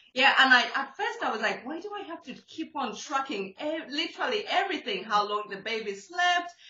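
Her high voice making very wide pitch swings and big jumps in loudness, a woman speaks over noticeable background noise. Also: fairly quick pace. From Zambia. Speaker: podcast host. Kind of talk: casual interview.

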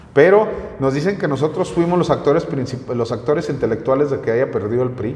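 Lively intonation marks a man talking at a fairly quick pace over noticeable background noise. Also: fairly high pitch for a man. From northern Mexico (Comarca Lagunera). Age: 40s. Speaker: local news streamer and political commentator. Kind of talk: casual interview chat.

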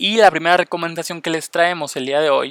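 A man speaks fairly quickly at a fairly high pitch. His bright, sharp tone comes through with a dry, close sound and no echo. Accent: Mexican. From Mexico. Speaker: podcast host. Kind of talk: casual podcast monologue.

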